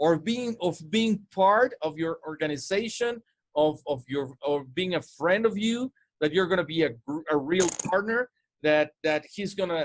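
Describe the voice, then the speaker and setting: A man's high-pitched voice, animated in tone with lively intonation, at a fairly slow pace, in a dry, close sound with no echo. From Mexico. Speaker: sales coach. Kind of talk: casual chat. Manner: halting.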